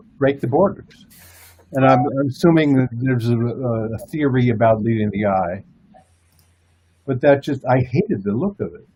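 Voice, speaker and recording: A man speaks at a medium pitch, somewhat breathy. His tone is dark and mellow. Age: 60s. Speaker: comic book artist. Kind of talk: casual chat.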